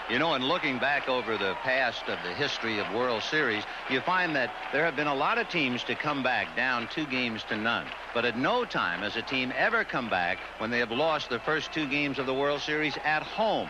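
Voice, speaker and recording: A man at medium pitch, fairly quick and lively in intonation, with very even loudness and noticeable background noise. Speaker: play-by-play baseball broadcaster. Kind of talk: live sports play-by-play commentary.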